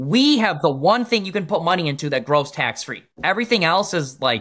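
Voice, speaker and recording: With an American accent and vocal fry, a man talks at a fairly quick pace, his pitch swinging very widely, on a very clean recording with a silent background. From Michigan. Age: 30s. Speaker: insurance agent. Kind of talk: interview.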